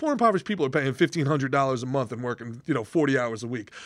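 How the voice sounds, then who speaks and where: An animated man with an American accent, very wide pitch swings, and a very clean recording with a silent background. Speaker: podcast host, former stand-up comedian. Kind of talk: casual chat. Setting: studio.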